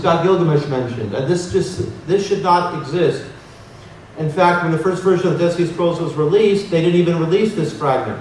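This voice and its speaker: A man with a high-pitched voice talks at a fairly quick pace with ordinary pitch variation, over noticeable background noise and audible room echo. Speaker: researcher and conference speaker. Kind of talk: conference lecture with slides. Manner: fast.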